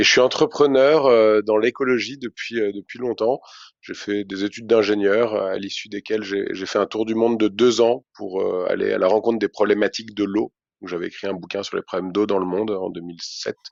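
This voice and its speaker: This voice moves at a fairly quick pace with fairly even intonation. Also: man. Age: 30s. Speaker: ecology activist and entrepreneur. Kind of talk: podcast interview. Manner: hesitant, many fillers.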